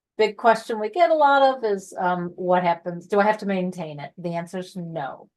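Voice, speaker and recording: A woman with a plain, everyday voice and medium pitch speaks at a moderate pace with lively intonation. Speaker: honor society staff presenter. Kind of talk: online info session presentation.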